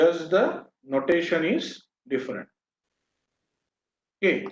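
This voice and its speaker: Lively intonation at a very slow pace. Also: man, high pitch for a man. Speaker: professor. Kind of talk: lecture. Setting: online video session.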